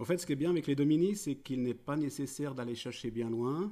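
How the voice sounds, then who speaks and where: With a Swiss accent, the voice has a dark, mellow tone and ordinary pitch variation. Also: man. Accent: Swiss-tinged French. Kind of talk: prepared talk read aloud. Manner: formal.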